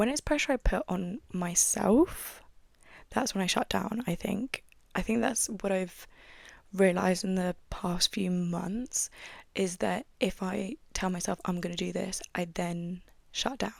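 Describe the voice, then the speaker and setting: Quiet and at a fairly slow pace, a woman speaks with a British accent on a very clean recording with a silent background. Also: medium pitch for a woman, ordinary pitch variation. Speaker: podcaster. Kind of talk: casual monologue podcast. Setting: at home desk.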